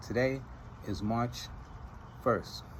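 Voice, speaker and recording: Vocal fry runs through a man's speech, which has lively intonation. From Trinidad and Tobago. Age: 30s. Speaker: vlogger. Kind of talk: casual monologue vlog. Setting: outdoors in front of his house.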